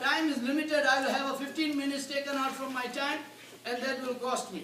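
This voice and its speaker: A loud voice comes through over noticeable background noise. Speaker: pilgrimage tour organizer. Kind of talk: information seminar.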